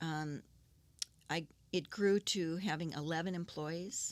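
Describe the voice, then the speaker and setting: Fairly low in pitch, a woman talks in an Upper Midwest accent with ordinary pitch variation. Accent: Upper Midwest American. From Saint Paul, Minnesota. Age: 60s. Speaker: businesswoman. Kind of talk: interview answer.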